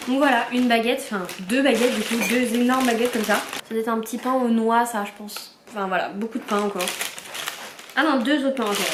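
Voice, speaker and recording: With an animated tone, a woman talks at a fairly high pitch and a very fast pace, broken by long, frequent pauses, amid audible room echo and noticeable background noise. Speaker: vlogger. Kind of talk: casual vlog talk to camera. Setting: at home.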